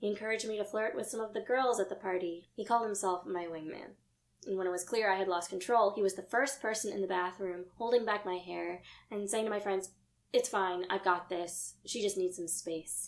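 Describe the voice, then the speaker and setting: A woman speaks in an ordinary speaking voice, at a medium pitch with fairly even intonation. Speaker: actor. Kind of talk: dramatic monologue of a true first-person account. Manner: emotional, earnest.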